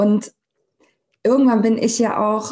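A dark, mellow tone in a woman's somewhat breathy voice. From Germany, Cologne. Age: 30s. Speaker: Instagram sales coach. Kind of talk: casual interview chat.

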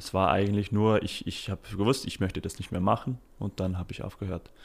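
His pitch is very deep and low. The man's pitch moves in an ordinary way. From Britain. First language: English (speaking German). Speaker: startup founder. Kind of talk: interview. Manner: halting, many fillers.

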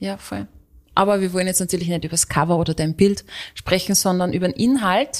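Speaking fairly quickly in an Austrian accent, a woman uses a medium pitch with ordinary pitch variation. The recording is very clean, with a silent background. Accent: Austrian dialect, stronger than co-host's. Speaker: radio host and podcast co-host. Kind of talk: casual chat.

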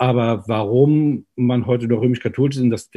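Over a quiet background, a man talks at a moderate pace with a medium pitch, a dark, mellow tone and fairly even intonation. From Germany, Mainz. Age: 50s. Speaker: pastor and party spokesperson. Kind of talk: interview. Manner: preachy, emphatic; hesitant with fillers.

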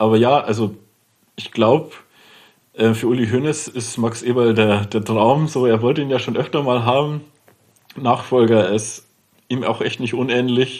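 A man talks with a strong Lower Bavarian accent at a fairly slow pace. His intonation stays fairly even, broken by long, frequent pauses. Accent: Lower Bavarian dialect, strong, rolled R. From Lower Bavaria, Germany. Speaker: TV sports journalist. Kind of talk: casual chat.

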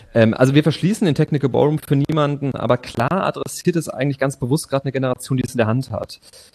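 Very fast, somewhat breathy man with a fairly high pitch, in a dry, close sound with no echo. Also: ordinary pitch variation. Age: 30s. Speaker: theatre and opera director. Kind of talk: interview.

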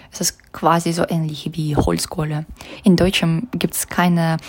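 A woman with a Russian accent speaks at a fairly slow pace and a fairly low pitch. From Russia, St. Petersburg. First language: Russian (speaking German). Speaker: master's student, project member. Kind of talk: interview.

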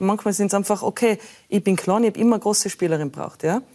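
A woman's medium pitch, an ordinary speaking voice, with ordinary pitch variation and a moderate pace. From Austria, Tyrol (Innsbruck). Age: 40s. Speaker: former pro beach volleyball player, mentor. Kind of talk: talk show interview.

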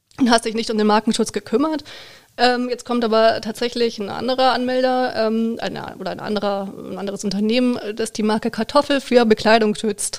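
Delivered at a fairly quick pace with fairly even intonation, this is an unremarkable speaking voice. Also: woman, fairly high pitch for a woman. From Baden-Württemberg, near Heidelberg. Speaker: trademark lawyer. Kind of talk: expert interview.

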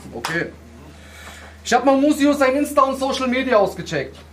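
Here a man is speaking. Noticeable background noise and audible room echo are present. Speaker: battle rapper. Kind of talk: post-battle interview; a cappella battle rap. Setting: stage with audience.

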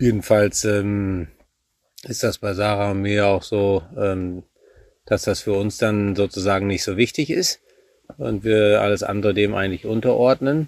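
A man's unremarkable speaking voice, fairly low in pitch, with fairly even intonation and a fairly slow pace. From Germany, Münsterland (Warendorf). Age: 40s. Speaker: eventing rider and national youth coach. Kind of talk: casual interview. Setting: at the family farm.

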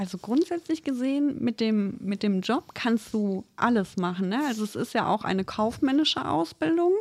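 Her fairly high voice, somewhat breathy, swings very widely in pitch as the woman speaks at a moderate pace. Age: 30s. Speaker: trainee veterinary assistant. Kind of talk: casual chat.

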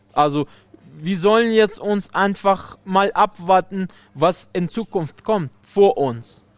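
A man speaks very slowly in a high voice with ordinary pitch variation. The sound is dry and close, with no echo. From Afghanistan. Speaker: wholesale trader. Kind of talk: interview. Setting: outdoors. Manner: halting.

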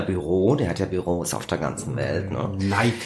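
A man's fairly low-pitched voice at a fairly slow pace, with audible room echo. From Kassel, Germany. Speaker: magazine editor-in-chief and musician. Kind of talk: casual interview. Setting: small back room in magazine office.

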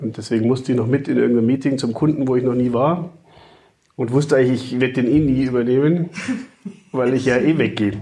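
At a very fast pace, a man of medium pitch speaks in a dark, mellow tone, somewhat breathy, with fairly even intonation. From Upper Franconia, Germany (Kulmbach). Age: 50s. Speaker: father and podcast guest. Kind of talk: casual chat.

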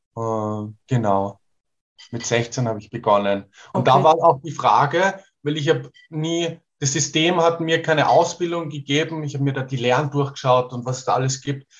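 The man's voice is fairly high and somewhat breathy, with ordinary pitch variation. He keeps a moderate pace while his loudness swings widely. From Portugal, rural. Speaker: sound healer and songwriter. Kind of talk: casual interview.

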